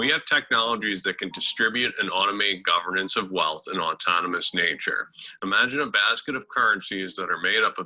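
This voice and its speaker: A man is speaking. His pace is fairly quick. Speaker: crypto channel host.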